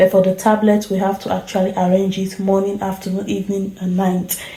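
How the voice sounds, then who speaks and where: Soft-spoken, a woman talks at a moderate pace and medium pitch. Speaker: nurse. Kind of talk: vlog narration. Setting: hospital ward at night.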